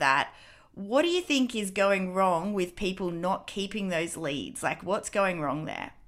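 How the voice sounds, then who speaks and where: In a very clean recording with a silent background, a woman with an Australian accent speaks at a moderate pace, using lively intonation at a medium pitch. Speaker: podcast host and dance studio owner. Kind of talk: interview.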